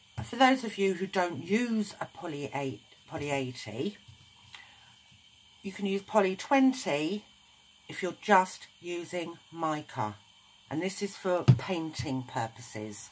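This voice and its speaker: Speech in a British accent comes at a very slow pace. Long pauses break it up often. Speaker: craft tutorial maker. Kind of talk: tutorial.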